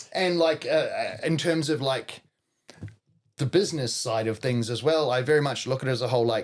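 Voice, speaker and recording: A man's fairly high-pitched voice in a New Zealand accent, at a fairly quick pace. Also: ordinary pitch variation. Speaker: professional wrestler and chef. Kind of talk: casual chat. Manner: loud.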